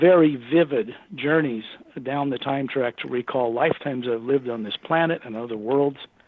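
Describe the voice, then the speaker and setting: A man with a normal speaking voice talks at a fairly quick pace, his fairly high pitch showing ordinary variation. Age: 60s. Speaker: author and researcher on extraterrestrials. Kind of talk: radio interview.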